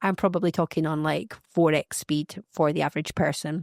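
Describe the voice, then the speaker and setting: A woman with a Scottish accent speaks with fairly even intonation in a dry, close recording with no echo, very clean and with a silent background. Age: 40s. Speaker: podcast host. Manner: very fast talker.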